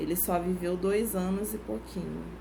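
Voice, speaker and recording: Speaking at a fairly slow pace, a woman uses a fairly low pitch and fairly even intonation. Room echo is audible. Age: 30s. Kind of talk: testimony.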